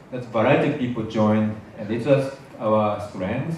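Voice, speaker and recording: A man with a medium pitch and ordinary pitch variation talks at a fairly slow pace. Noticeable background noise and audible room echo fill the recording. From Japan. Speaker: basic income activist and academic. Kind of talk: panel presentation. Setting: university hall with audience. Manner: halting, many fillers.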